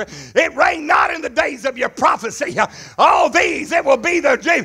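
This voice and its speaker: A man shouts at an extremely high pitch with ordinary pitch variation. His pace is moderate. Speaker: preacher. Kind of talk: sermon. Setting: church. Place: church. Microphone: headset.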